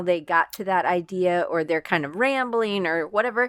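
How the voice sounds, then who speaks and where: On a very clean recording with a silent background, a woman with an American accent and an unremarkable speaking voice talks at a moderate pace and medium pitch, with ordinary pitch variation. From US South (Atlanta, Georgia). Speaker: design professor and freelance designer. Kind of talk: interview conversation.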